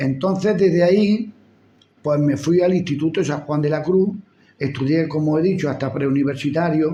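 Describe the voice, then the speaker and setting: With a dark, mellow tone, a man speaks at a fairly high pitch with ordinary pitch variation. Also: moderate pace. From Andalusia, Spain (Úbeda, Jaén). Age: 70s. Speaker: retired schoolteacher. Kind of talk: life story interview.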